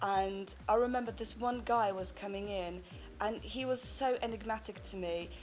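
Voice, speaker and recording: Over music in the background, a woman speaks at a fairly slow pace with a medium pitch and fairly even intonation. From Poland. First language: Polish. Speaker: actress and performer. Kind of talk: interview.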